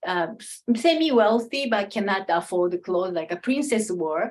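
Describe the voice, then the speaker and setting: A woman with a plain, everyday voice, medium pitch and a moderate pace. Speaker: kimono and Japanese culture expert. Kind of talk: Q&A talk at an online salon.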